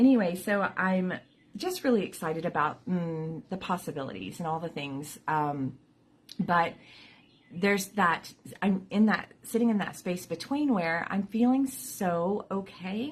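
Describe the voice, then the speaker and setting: A woman speaks at a fairly slow pace in a medium-pitched, somewhat breathy voice with lively intonation. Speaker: vlogger with chronic illness. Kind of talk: casual vlog talk. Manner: halting, many fillers.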